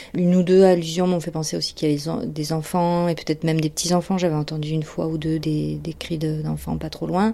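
Speaking at a fairly quick pace with hardly any pauses, a woman uses a very deep, low pitch and a dark, mellow tone, her intonation monotone and flat. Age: 40s. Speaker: former therapy patient. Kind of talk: testimony. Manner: halting.

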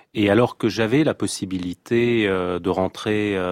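In an ordinary speaking voice, a man with a fairly low pitch talks with fairly even intonation, the sound dry and close with no echo. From Lebanon. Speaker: chef. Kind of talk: radio interview.

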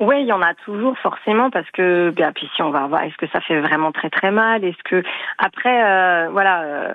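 In a plain, everyday voice, the speaker goes at a moderate pace with ordinary pitch variation. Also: woman. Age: 40s. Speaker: caller. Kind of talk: phone-in testimony.

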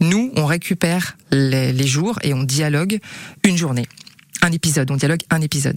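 A woman speaks at a very deep, low pitch and a moderate pace, with ordinary pitch variation. The sound is dry and close with no echo, and background noise is noticeable. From western France (Angers), childhood in Gabon. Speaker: TV screenwriter and author. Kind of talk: radio interview.

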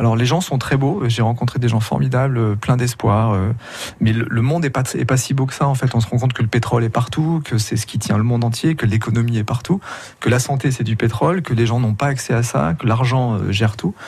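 At a fairly quick pace, a man with a medium pitch sounds somewhat breathy and shows ordinary pitch variation. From France, Grenoble. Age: 50s. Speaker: emergency doctor and documentary maker. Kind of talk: radio interview. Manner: halting.

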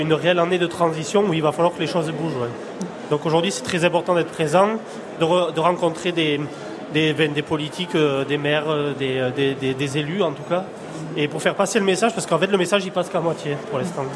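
A man talks at a fairly quick pace with a fairly high pitch and fairly even intonation. Noticeable background noise and audible room echo are present. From France, Lozère. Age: 20s. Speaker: cattle farmer. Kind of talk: live radio interview. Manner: halting.

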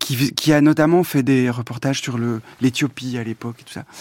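The speaker keeps a moderate pace and fairly even intonation on a very clean recording with a silent background. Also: man. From Belgium. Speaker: film director. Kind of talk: interview. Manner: halting.

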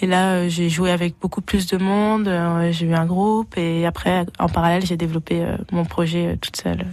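Noticeable background noise sits under a woman speaking at a moderate pace. Her pitch is fairly low and her intonation monotone and flat. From France, Berry (Vierzon). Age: 20s. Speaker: singer. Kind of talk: radio interview. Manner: hesitant, filler words.

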